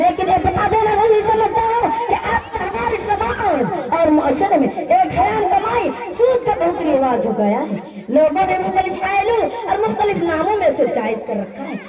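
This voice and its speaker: Against crowd noise, a woman talks at an extremely high pitch, her voice swinging very widely. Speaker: female speech performer. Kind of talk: Islamic speech (taqreer) in Urdu on earning lawful income.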